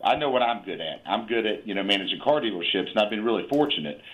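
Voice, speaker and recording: A man speaks at medium pitch with an Appalachian accent. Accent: Appalachian Southern US. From US South, southern West Virginia. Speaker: investor and car dealership manager. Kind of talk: casual chat. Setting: phone call.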